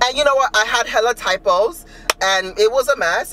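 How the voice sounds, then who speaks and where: Over faint music in the background, the speaker talks at a very fast pace. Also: man. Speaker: vlogger. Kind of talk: casual vlog chat. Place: car. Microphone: phone near.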